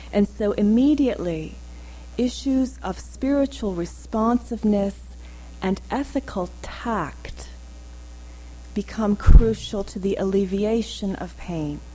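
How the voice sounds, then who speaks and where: Over noticeable background noise, a woman with an American accent speaks at a very slow pace, her loudness swinging widely. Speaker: academic lecturer. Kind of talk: lecture. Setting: lecture hall with audience.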